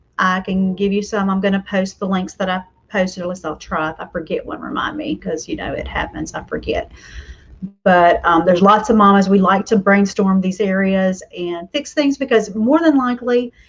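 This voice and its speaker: A woman speaks in a somewhat breathy, medium-pitched voice with ordinary pitch variation. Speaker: homeschool mom and online host. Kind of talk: casual live stream talk. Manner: chatty with fillers; fast.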